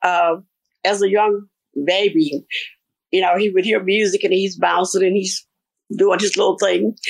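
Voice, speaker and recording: A woman speaks with monotone, flat intonation and very even loudness. She leaves long, frequent pauses. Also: medium pitch for a woman, moderate pace. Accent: Mississippi. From US South, Mississippi. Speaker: gospel choir singer. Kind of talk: radio interview.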